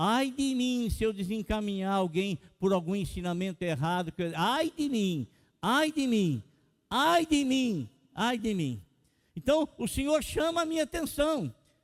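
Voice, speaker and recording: In a very clean recording with a silent background and a dry, close sound free of echo, a man with a high voice speaks at a fairly slow pace, his pitch swinging very widely. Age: 60s. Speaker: pastor. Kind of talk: sermon.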